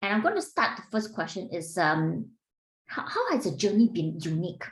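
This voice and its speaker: At a moderate pace, a woman talks with a Singaporean accent. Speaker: executive coach and podcast host. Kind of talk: interview.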